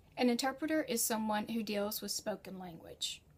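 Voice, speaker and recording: The speaker talks at a moderate pace with a General American accent. Noticeable background noise runs underneath. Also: woman. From United States. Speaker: freelance writer and educator. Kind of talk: tutorial. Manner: conversational.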